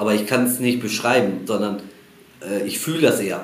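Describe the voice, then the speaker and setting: A man's medium-pitched voice with lively intonation, audible room echo and noticeable background noise. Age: 40s. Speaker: football technique coach. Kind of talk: casual interview.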